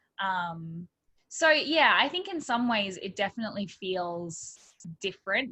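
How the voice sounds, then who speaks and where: A woman with an Australian accent speaks at medium pitch in a bright, sharp tone. The sound is dry and close with no echo. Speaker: pastor. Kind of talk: interview.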